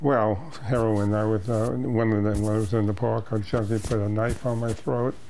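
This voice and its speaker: With an American accent, a man speaks at a moderate pace in a fairly low voice, his loudness very even and his intonation fairly even, over noticeable background noise and audible room echo. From New York City, Lower East Side. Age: 70s. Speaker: therapist. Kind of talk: casual interview chat.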